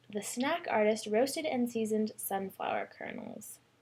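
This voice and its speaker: Noticeable background noise sits behind this woman. Her fairly high pitch carries ordinary variation. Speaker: beauty vlogger. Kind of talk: casual product review vlog. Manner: animated; halting.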